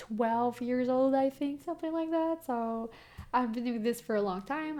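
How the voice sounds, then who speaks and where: A woman talks with a Quebec accent at a fairly high pitch. Her pitch varies in an ordinary way. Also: very clean recording, silent background. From Quebec, Canada. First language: French. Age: young. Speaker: tarot reader and video creator. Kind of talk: casual talk to camera. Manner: fast; stumbles on words.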